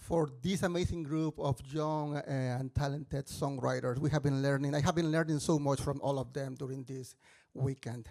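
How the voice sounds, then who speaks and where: In a very clean recording with a silent background, a man talks with a strong Mexican accent and fairly even intonation. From Mexico. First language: Spanish. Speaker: musical theatre composer and mentor. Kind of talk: stage introduction. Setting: stage with audience. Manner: halting.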